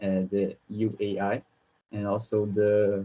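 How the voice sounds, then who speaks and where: The speaker is a man with a Brazilian Portuguese accent. His pitch sits fairly low. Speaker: researcher. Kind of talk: conference presentation. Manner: halting, with many fillers and repetitions.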